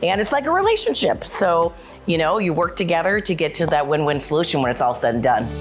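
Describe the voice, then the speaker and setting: With a Minnesotan accent, the speaker talks at a fairly quick pace amid noticeable background noise. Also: woman. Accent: Minnesota. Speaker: client success account director. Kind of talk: corporate interview. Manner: many fillers and repeats.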